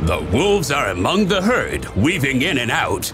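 Music plays in the background while a man speaks. His pace is fairly slow and his pitch swings very widely. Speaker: narrator. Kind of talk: comedic wildlife documentary narration.

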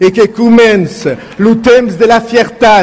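A man talks at a very slow pace, with noticeable background noise around him. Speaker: politician. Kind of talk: political speech at a rally.

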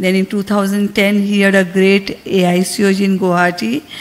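In an Indian accent, the speaker talks at a fairly slow pace with monotone, flat intonation. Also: woman. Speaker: medical society official. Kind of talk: conference speech. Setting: conference hall. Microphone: podium.

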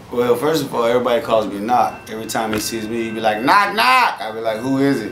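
Talking very fast with hardly any pauses, a man with an American accent uses ordinary pitch variation over light background noise and audible room echo. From US West Coast. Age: 40s. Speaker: rapper; interviewee. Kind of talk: interview. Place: shop.

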